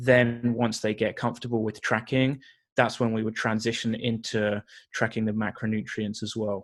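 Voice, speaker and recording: A man with a British accent speaks at a moderate pace and medium pitch. His intonation is monotone and flat, and the recording is very clean with a silent background. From UK. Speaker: nutrition coach and personal trainer. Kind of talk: podcast interview.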